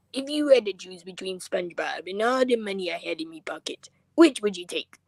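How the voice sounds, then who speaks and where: A female-sounding voice does a put-on character voice at a medium pitch. The pace is fairly quick. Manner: gruff, money-obsessed.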